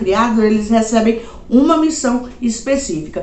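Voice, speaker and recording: Ordinary pitch variation from a woman, with audible room echo around her. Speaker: anime YouTuber. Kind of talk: casual recommendation video. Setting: home. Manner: casual, uses many fillers.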